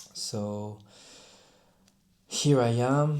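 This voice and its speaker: With a French accent and a dark, mellow tone, a man speaks amid audible room echo. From France. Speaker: rugby player. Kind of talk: personal vlog talk to camera. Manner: halting, with self-corrections.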